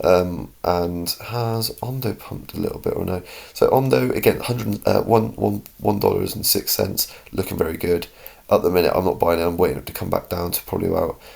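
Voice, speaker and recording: Fairly quick delivery in a British accent. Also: man. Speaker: crypto YouTuber. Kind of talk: casual market commentary. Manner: animated.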